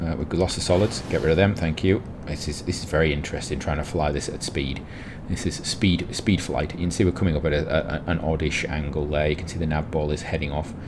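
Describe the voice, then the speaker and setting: Delivered at a very fast pace with fairly even intonation, the speech comes through noticeable background noise and audible room echo. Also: man, very deep, low pitch for a man. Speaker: gaming youtuber. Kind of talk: gameplay commentary.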